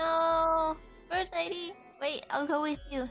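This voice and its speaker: Over clear background music, a woman in a put-on character voice speaks fairly slowly at an extremely high pitch. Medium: virtual streamer.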